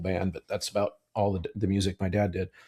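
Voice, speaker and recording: Very fast, very deep speech from a man, somewhat breathy, dark and mellow, with monotone, flat intonation. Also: very clean recording, silent background. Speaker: choir director and podcast host. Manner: halting, many fillers.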